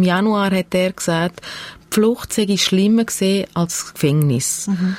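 A woman with a Swiss accent speaks at a fairly slow pace, her medium-pitched voice keeping a fairly even intonation. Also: dry, close sound with no echo. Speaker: podcast host and producer. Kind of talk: conversational interview; scripted narration. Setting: radio studio.

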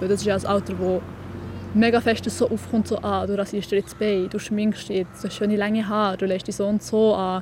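A woman talks at a fairly quick pace and medium pitch. Her intonation is flat and monotone. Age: 20s. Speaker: young writer. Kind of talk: interview.

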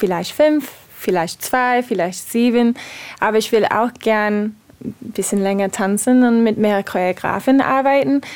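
In an English accent, a woman speaks at a fairly slow pace with a fairly high pitch. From USA. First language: English (speaking German). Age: 30s. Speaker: ballet dancer. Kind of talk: interview. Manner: halting.

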